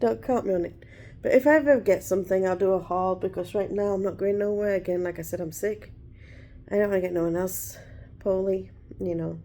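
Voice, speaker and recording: A woman speaks with an English accent in a dark, mellow tone. Her pace is fairly quick. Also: medium pitch for a woman, ordinary pitch variation. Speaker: vlogger. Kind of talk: casual chat. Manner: loud.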